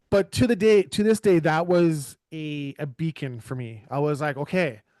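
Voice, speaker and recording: In a normal speaking voice, a man with a Canadian accent talks at a moderate pace, his fairly high pitch carrying lively intonation, with a dry, close sound, no echo and a quiet background. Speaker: podcast host. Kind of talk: casual conversation.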